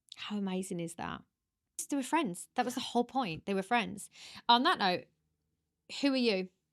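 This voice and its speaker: In a very clean recording with a silent background, a woman with a Birmingham accent and a medium pitch speaks at a moderate pace in an animated tone with lively intonation, leaving long, frequent pauses. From England, Birmingham. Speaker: podcast host. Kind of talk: casual chat. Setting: on location in hometown. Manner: loud.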